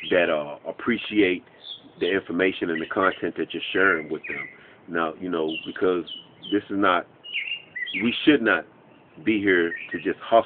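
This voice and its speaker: Over noticeable background noise, a man with a very deep, low pitch speaks at a moderate pace with ordinary pitch variation and long, frequent pauses. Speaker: online business trainer. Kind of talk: tutorial monologue.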